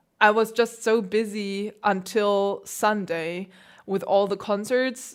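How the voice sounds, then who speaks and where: Here a woman talks at a medium pitch in a German accent. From Germany. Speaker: classical pianist. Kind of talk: livestream chat. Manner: casual, hesitant fillers. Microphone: new piano mic.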